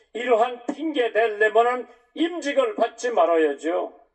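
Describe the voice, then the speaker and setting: Pitch swings very widely in this man's voice. He talks at a very slow pace. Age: 80s+. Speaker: pastor. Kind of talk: Sunday sermon.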